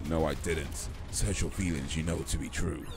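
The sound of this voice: Over loud background noise, a man does a breathy, put-on character voice at a moderate pace.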